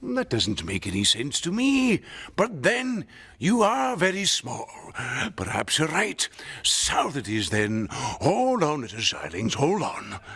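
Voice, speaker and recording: A man does a put-on character voice at a fairly high pitch. He talks at a fairly slow pace with very wide pitch swings. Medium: stage play. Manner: grave, authoritative.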